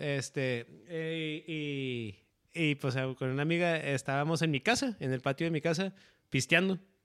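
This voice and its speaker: Speaking fairly slowly, a man uses lively intonation in a fairly high pitch. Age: 30s. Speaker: podcast host. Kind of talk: casual chat.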